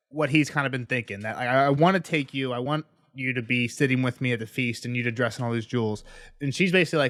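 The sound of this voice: This is an unforced reading voice. It is heard on its own.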